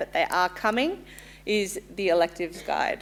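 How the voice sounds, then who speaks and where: A woman at a medium pitch and moderate pace. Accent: Australian. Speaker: insurance company representative. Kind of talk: sales pitch. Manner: loud; casual, friendly.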